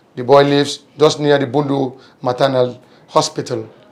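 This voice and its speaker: A man speaks at a fairly high pitch and a fairly slow pace. His intonation is monotone and flat. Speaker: TV interviewer. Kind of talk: interview.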